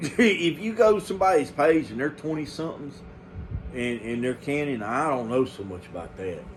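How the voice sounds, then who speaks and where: A man's fairly high voice at a moderate pace, with very wide pitch swings, big swings in loudness and noticeable background noise. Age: 50s. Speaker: home canning channel host. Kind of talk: casual monologue to viewers. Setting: early morning home recording. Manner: halting with many fillers.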